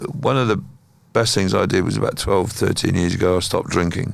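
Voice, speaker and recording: Audible room echo and noticeable background noise surround a man speaking at a moderate pace with a southern English accent. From southern England (Kent). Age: 60s. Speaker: musician. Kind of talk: interview conversation.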